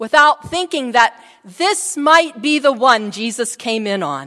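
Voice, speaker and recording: Her voice is raised and projected, with a bright, sharp tone. The woman moves very slowly through very wide pitch swings. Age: 60s. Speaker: pastor. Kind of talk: sermon.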